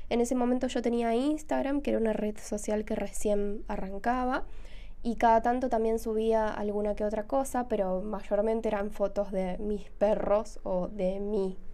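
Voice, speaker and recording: Her dark, mellow tone sits at a fairly high pitch for a woman, with ordinary pitch variation. She speaks at a moderate pace amid audible room echo. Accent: Argentine. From Argentina, Rosario. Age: 20s. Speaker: podcast host and illustrator. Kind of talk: casual solo podcast monologue.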